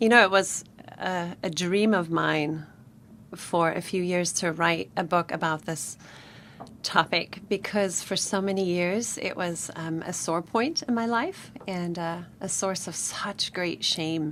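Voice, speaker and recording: A woman's fairly low voice with a southern African accent, fairly even intonation and a fairly slow pace. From Namibia. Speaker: author. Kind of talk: radio interview. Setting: studio.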